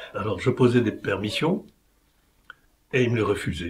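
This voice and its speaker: A man talks in a somewhat breathy voice. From Morocco (Oujda). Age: 80s+. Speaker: war veteran. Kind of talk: interview testimony.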